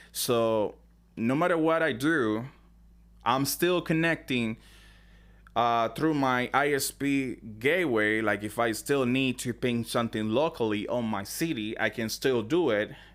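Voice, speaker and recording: A man speaks at a fairly slow pace with a medium pitch, ordinary pitch variation and a non-native accent. The recording is very clean, with a silent background. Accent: heavy non-native. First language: not English. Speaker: tech tutorial creator. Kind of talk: tutorial. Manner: unscripted, hesitant with fillers.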